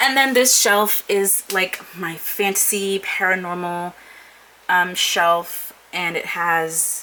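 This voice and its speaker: Noticeable background noise sits behind a woman whose pitch is medium. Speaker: booktuber. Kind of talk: casual vlog, bookshelf tour. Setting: home office.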